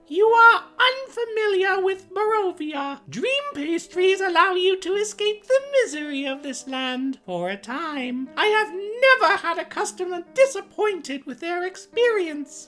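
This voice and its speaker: A squeaky, put-on character voice at a moderate pace with hardly any pauses. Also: female-sounding voice, extremely high pitch for a woman. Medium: actual play. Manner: sweet, sly.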